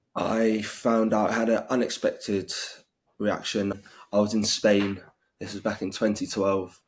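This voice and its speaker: With a British accent, a man speaks in a monotone, flat way at a fairly slow pace and a fairly low pitch. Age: 20s. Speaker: interviewee with severe food allergies. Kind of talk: interview testimony. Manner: halting.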